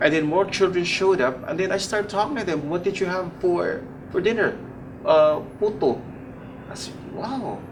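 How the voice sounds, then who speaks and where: A man with a high voice talks at a moderate pace with long, frequent pauses, while ordinary pitch variation, audible room echo and noticeable background noise come through. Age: 60s. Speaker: charity volunteer. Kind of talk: interview conversation.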